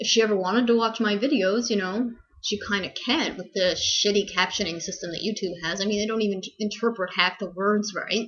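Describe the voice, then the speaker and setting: Over noticeable background noise, a woman with a medium pitch talks fairly quickly with hardly any pauses and fairly even intonation. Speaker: vlogger sharing eating disorder recovery. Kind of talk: casual vlog update. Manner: fast.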